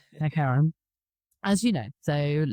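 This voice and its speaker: In a southern English accent, a woman with a very deep, low pitch and a dark, mellow tone speaks with lively intonation, the sound dry and close with no echo on a very clean recording with a silent background. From southern England. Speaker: podcast host. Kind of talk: casual interview chat. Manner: animated.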